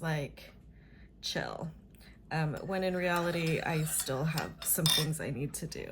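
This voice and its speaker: Vocal fry runs through this voice with an American accent. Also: woman. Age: 50s. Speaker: vlogger. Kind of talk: casual chat. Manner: chatty, filler-heavy.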